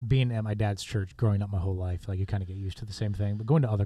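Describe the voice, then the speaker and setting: Talking at a very fast pace, a man with a fairly low pitch and a dark, mellow, somewhat breathy tone keeps a monotone, flat intonation on a very clean recording with a silent background. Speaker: young adults pastor. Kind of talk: podcast interview.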